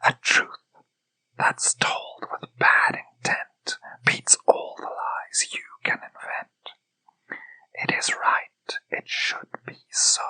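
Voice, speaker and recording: The speaker whispers at a very slow pace. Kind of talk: whispered poetry reading. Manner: whispered.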